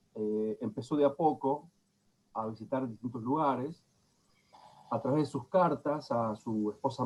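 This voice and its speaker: This man has an unremarkable speaking voice at medium pitch, with ordinary pitch variation and a fairly slow pace. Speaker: lecturer. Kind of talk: lecture.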